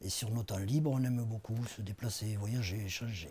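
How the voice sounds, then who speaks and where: A dark, mellow, somewhat breathy tone at a moderate pace. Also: man. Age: 60s. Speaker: patient giving testimony. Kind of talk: testimony. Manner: halting, many hesitations.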